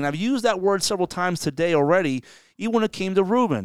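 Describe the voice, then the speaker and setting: With a New Jersey accent, a man talks very fast in a high voice with lively intonation, on a very clean recording with a silent background. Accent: New Jersey American. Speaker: podcast co-host discussing local politics. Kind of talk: casual political chat. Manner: fast talker.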